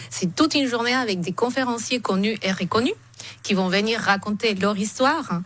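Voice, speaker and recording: With a non-native accent, a woman talks at a moderate pace and fairly high pitch, with ordinary pitch variation. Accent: foreign accent in French. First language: not French (speaking French). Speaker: event organizer. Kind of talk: radio interview.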